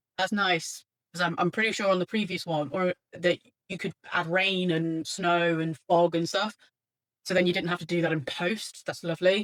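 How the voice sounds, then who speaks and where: A woman with a British accent speaks at a moderate pace and a fairly low pitch, her intonation fairly even, in a dry, close sound with no echo. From Britain. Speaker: artist and webcomic creator vlogger. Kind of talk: casual software tryout vlog. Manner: hesitant, many fillers.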